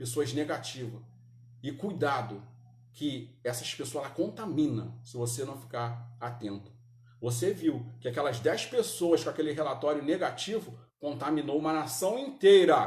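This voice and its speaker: Breathing somewhat audibly, a man with a fairly high voice speaks at a moderate pace in an animated tone with lively intonation, amid audible room echo. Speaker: Sunday school Bible teacher. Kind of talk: Bible class teaching. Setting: church, live-streamed. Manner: animated, rhetorical questions.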